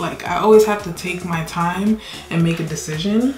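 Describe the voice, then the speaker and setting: Music plays in the background and the room echo is audible as a woman with a fairly low pitch talks at a fairly quick pace with fairly even intonation. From New York, Brooklyn. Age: 20s. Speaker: beauty vlogger. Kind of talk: casual chat. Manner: casual, hesitant with fillers.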